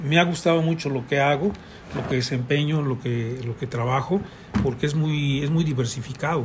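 Noticeable background noise sits under the speech. The pace is moderate. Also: man. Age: 70s. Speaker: architect. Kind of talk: interview. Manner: halting.

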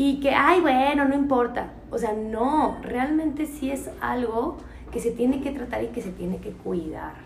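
Speaking at a fairly slow pace, a woman with a high pitch and ordinary pitch variation is heard amid audible room echo and noticeable background noise. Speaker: podcast host. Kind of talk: casual chat.

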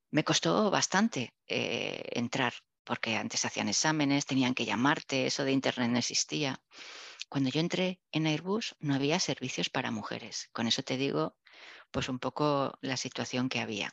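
A woman speaks at a very deep, low pitch with vocal fry. Her pace is moderate and the background quiet. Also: lively intonation, dry, close sound with no echo. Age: 60s. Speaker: engineer and business executive. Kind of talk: interview.

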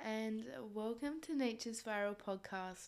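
An unremarkable speaking voice from a woman, medium in pitch with ordinary variation, at a fairly slow pace. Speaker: meditation guide and podcaster. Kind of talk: guided meditation. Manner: slow, soft, calm and soothing, with long pauses; gentle, unhurried.

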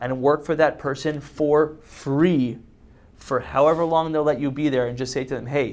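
A man with a plain, everyday voice, fairly high in pitch, fairly even in intonation, on a very clean recording with a silent background. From Canada, Montreal. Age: 30s. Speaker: entrepreneur. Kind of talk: interview. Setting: live-streamed interview.

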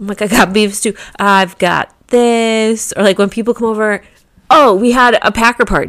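A woman with a Midwestern American accent talks at a moderate pace. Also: fairly high pitch for a woman. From US Midwest. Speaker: podcast co-host. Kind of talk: casual chat.

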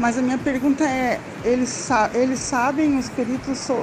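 A woman's high, monotone, flat voice at a fairly slow pace, with audible room echo and noticeable background noise. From Santa Catarina, southern Brazil. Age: 40s. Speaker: person with Parkinson's. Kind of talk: casual group chat. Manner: halting.

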